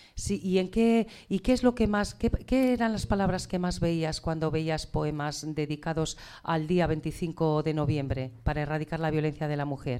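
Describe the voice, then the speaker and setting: On a very clean recording with a silent background, a woman with a very deep, low, dark and mellow voice speaks at a fairly slow pace with hardly any pauses and lively intonation. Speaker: teacher. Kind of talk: school radio presenting and interviewing. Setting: school radio studio. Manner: warm, encouraging.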